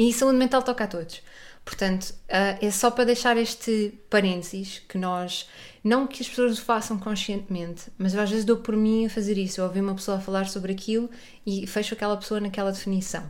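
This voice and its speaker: At a fairly quick pace, a woman with a plain, everyday voice speaks at a medium pitch with fairly even intonation. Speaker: podcast host. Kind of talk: casual interview chat.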